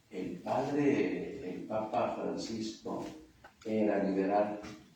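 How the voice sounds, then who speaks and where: A man speaks very slowly while noticeable background noise and audible room echo fill the recording. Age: 60s. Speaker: priest. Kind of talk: sermon.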